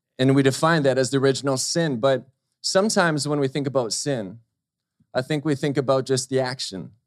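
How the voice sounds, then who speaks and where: A man with an unremarkable speaking voice at medium pitch talks at a fairly quick pace with ordinary pitch variation. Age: 30s. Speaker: preacher. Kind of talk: sermon. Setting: church service with congregation.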